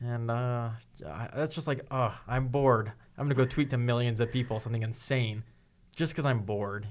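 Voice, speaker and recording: On a very clean recording with a silent background, a man at medium pitch talks at a fairly quick pace with ordinary pitch variation, a plain, everyday voice. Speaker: podcast host. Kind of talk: casual chat.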